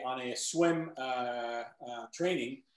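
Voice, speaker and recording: A man speaks in a normal speaking voice with ordinary pitch variation. He keeps a moderate pace. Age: 60s. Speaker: triathlete. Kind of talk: casual chat.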